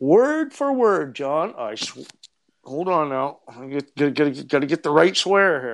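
A man with an ordinary speaking voice talks at a fairly slow pace and fairly high pitch, with lively intonation and big swings in loudness. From Eastern Canada. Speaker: treasure hunter and researcher. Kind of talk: casual interview chat.

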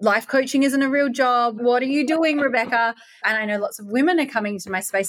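A woman with an Australian accent talks at a very fast pace with ordinary pitch variation. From Perth, Western Australia. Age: 30s. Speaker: podcast host and life coach. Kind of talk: casual interview chat.

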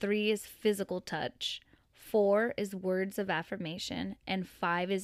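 In a very clean recording with a silent background, a woman with an unremarkable speaking voice talks at medium pitch and a fairly slow pace, her intonation fairly even. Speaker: daughter guest co-host. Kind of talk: casual chat.

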